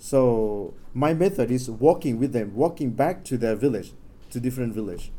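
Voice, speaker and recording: Speaking in a Thai accent, a man at a medium pitch keeps a moderate pace with lively intonation. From Thailand. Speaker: Jesuit researcher. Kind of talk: academic presentation. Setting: stage with audience. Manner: halting.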